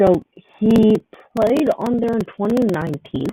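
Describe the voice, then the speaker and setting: The voice is quiet, with a dark, mellow tone. The sound is dry and close, with no echo. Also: man. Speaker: gaming livestreamer. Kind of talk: livestream commentary while playing. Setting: livestream. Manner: casual, rambling with fillers.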